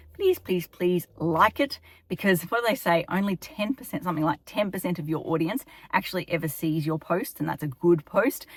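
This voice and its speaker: Speaking in an Australian accent, a woman has a fairly low voice with ordinary pitch variation. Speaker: town planner. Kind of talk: informational vlog. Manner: fast.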